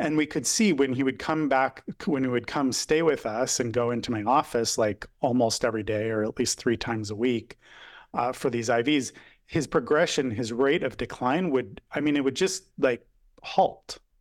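A man talks at a moderate pace in a medium pitch with ordinary pitch variation, an unremarkable speaking voice. The recording is very clean with a silent background. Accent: American. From Northern California. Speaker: physician. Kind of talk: interview.

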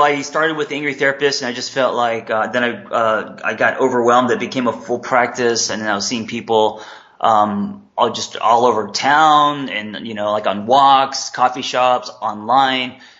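A man with a West Coast US accent, medium pitch, a moderate pace, and hardly any pauses. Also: ordinary pitch variation. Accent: General American, West Coast. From Los Angeles. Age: 40s. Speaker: therapist and life coach. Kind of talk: interview.

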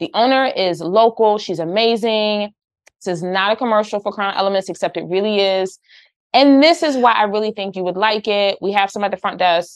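A woman with an ordinary speaking voice, medium pitch, ordinary pitch variation and a fairly quick pace, over a quiet background. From Philadelphia, US. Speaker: podcast host, hairstylist and salon owner. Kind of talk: casual chat.

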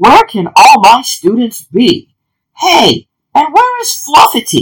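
Using a put-on character voice with a slightly husky edge, the speaker goes at a slow pace and swings the pitch very widely. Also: woman, high pitch for a woman.

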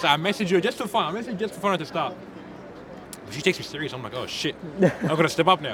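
Over noticeable background noise, a man speaks in an animated, high-pitched voice at a very fast pace, with lively intonation, big swings in loudness and long, frequent pauses. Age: 20s. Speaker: food truck owner. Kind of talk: casual chat.

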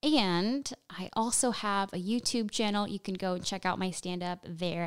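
A woman at medium pitch with a slight Nicaraguan accent and ordinary pitch variation, on a very clean recording with a silent background. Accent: slight Nicaraguan-tinged American English. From Nicaraguan-American family. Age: 20s. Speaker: stand-up comedian. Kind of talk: casual interview chat. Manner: animated.

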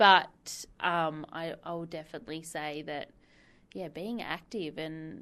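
A woman with an Australian accent and a very deep, low pitch, against a quiet background. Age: 20s. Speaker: council waste services officer. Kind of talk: interview.

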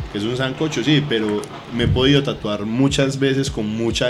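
The speech comes at a fairly quick pace with ordinary pitch variation, amid noticeable background noise and audible room echo. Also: man. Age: 20s. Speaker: athlete and cannabis user. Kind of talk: casual chat.

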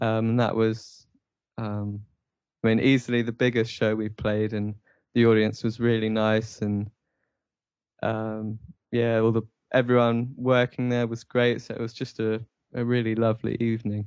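A man with an English accent speaks at a moderate pace and medium pitch, his intonation monotone and flat. He takes long, frequent pauses. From England. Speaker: musician. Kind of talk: interview. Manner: hesitant, many fillers.

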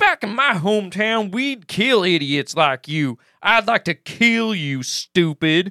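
In a put-on character voice, a man speaks at high pitch and a fairly slow pace, with hardly any pauses. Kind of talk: comic amateur reenactment. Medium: talk show. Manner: angry, blustering, shouting.

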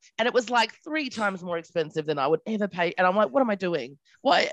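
Talking at a very fast pace, a woman at medium pitch swings her voice very widely, recorded dry and close with no echo. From Australia (Adelaide). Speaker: podcast guest. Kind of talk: casual chat.

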